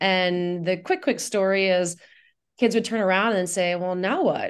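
With an American accent, a plain, everyday voice speaks with ordinary pitch variation against a quiet background. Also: woman. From Indiana, US Midwest. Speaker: nonprofit executive director. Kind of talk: radio interview.

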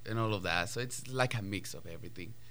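Spanish-accented male speaker. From Colombia. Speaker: ballet dancer. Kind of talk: radio interview.

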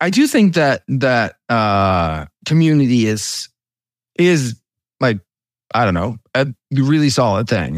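Recorded with a dry, close sound and no echo, a man speaks at a medium pitch with very wide pitch swings. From Denmark. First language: Danish. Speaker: software company founder. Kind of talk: interview. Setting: video call.

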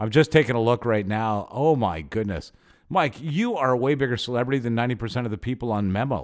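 Very fast speech from a man at medium pitch, with ordinary pitch variation. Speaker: podcast host. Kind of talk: casual chat.

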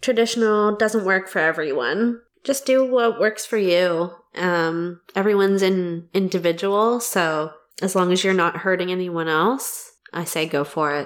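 Here is a woman with a plain, everyday voice and medium pitch. She speaks at a fairly slow pace. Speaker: podcast host. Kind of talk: casual interview chat.

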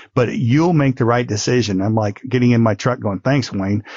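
Here a man speaks in a normal speaking voice at a medium pitch. His pace is fairly quick, with ordinary pitch variation. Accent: American. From US Midwest. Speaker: businessman, former car dealership owner. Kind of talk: interview.

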